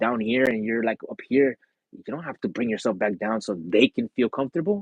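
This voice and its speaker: A man's medium-pitched voice in an animated tone, fairly quick in pace, with ordinary pitch variation. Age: 30s. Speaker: livestreamer. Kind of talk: casual livestream chat. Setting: live stream. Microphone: earphone mic issue.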